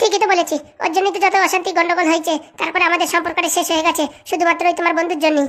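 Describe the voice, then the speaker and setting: A woman's cartoonish character voice at an extremely high pitch and very fast pace, with monotone, flat intonation. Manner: sharp-tongued, bickering.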